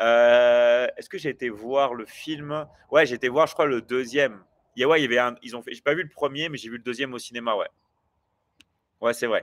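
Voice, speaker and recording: A man speaks at a moderate pace and medium pitch with fairly even intonation and big swings in loudness, on a very clean recording with a silent background. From France. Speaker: online business coach and livestreamer. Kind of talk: live stream chat with viewers. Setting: livestream. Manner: hesitant, many fillers.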